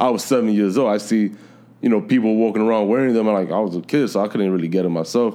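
Talking at a very fast pace in a New York accent, a man has a fairly low pitch, a dark, mellow tone and very even loudness. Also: ordinary pitch variation. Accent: New York City. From New York City. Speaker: sneaker reseller. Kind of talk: casual chat.

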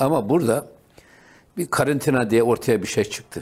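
A man's normal speaking voice at a moderate pace, with ordinary pitch variation, in a very clean recording over a silent background. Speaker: religious radio host. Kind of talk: religious talk show.

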